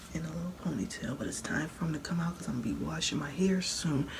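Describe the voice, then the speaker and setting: Quiet and recorded with noticeable background noise and audible room echo, a woman with a fairly low pitch speaks at a fairly quick pace with ordinary pitch variation. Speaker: hair care vlogger. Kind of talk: casual tutorial vlog. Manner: low, quiet voice; conversational, repetitive.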